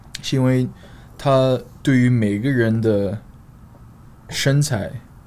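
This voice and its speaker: A medium-pitched man's voice with a non-native accent and fairly even intonation. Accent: foreign accent in Mandarin. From Australia, Queensland (Sunshine Coast). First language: English (speaking Chinese). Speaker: fitness coach and influencer. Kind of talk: casual chat. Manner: halting, many fillers and code-switching.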